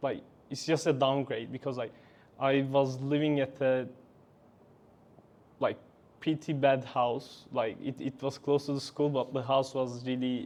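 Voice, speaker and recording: A man's flat, monotone, medium-pitched voice at a fairly slow pace, broken by long, frequent pauses. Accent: Turkish. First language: Turkish. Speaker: engineering graduate. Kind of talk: interview. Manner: halting.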